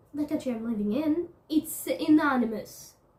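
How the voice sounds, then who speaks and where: In a non-native accent, a woman with a high voice talks at a moderate pace, her intonation lively. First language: not English. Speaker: video blogger. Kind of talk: casual vlog monologue. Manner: halting, frequent self-corrections; animated.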